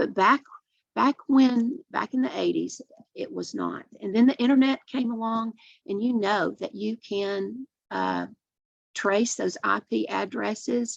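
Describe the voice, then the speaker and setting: Recorded dry and close with no echo, the speaker talks at a fairly slow pace in an East Tennessee accent. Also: woman. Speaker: addiction treatment program director. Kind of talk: webinar presentation. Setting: online webinar.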